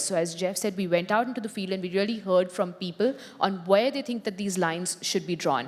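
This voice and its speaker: A woman's medium-pitched voice in an Indian accent, at a fairly quick pace with ordinary pitch variation. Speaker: tech company policy executive. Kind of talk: panel discussion.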